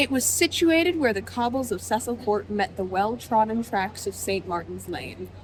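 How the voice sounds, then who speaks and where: A woman talking with hardly any pauses over noticeable background noise. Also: moderate pace. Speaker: author's daughter, co-host. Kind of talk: reading aloud.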